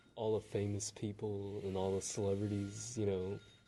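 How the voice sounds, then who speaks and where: Quiet and fairly low-pitched, a man's voice has a dark, mellow tone. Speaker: podcast host. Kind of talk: casual interview. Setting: library.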